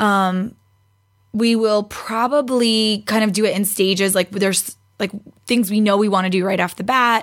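Over a silent background in a very clean recording, a woman speaks at medium pitch, her intonation fairly even. She has an unremarkable speaking voice and a moderate pace. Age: 20s. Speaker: podcast guest, fitness competitor. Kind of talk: casual chat.

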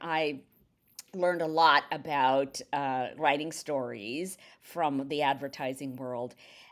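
The speaker is a woman with ordinary pitch variation. The recording is very clean, the background silent. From India. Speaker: novelist. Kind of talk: casual chat. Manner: hesitant with many fillers.

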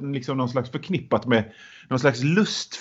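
A man is speaking. His voice is somewhat breathy. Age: 40s. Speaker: book podcast co-host. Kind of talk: casual chat. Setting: small room, former caretaker's bunker. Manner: halting, repeats words.

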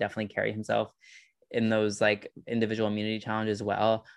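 A man talks at a very fast pace with an American accent. His tone is animated and his pitch medium. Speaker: Survivor fan co-commentator. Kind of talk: casual chat. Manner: animated, talking-head style.

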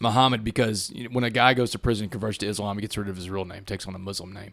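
A man with a Texan accent talks at a very fast pace, his fairly low voice animated and bright, with a sharp edge. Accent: Texan Southern US. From Southeast Texas, Port Arthur. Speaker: former inmate turned motivational speaker. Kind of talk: interview testimony.

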